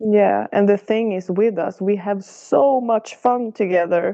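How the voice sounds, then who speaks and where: At a fairly slow pace, a woman with a non-native accent speaks with fairly even intonation. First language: not English. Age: 40s. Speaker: podcast guest sharing relationship story. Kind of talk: coaching conversation.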